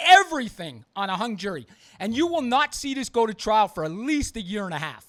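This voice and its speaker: Shouting loudly at a fairly quick pace, a man with a high pitch makes very wide pitch swings in a very clean recording with a silent background. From US East Coast. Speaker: podcast host. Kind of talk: opinionated podcast monologue. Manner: loud, yelling; emphatic, repetitive.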